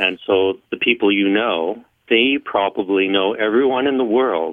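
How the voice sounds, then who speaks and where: A man talks with a western Canadian accent. His pitch sits fairly low and varies in an ordinary way. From rural Alberta, Canada. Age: 60s. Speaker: electronic musician. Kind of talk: interview.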